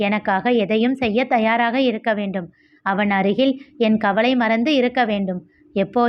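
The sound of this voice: What you hear is an unforced reading voice.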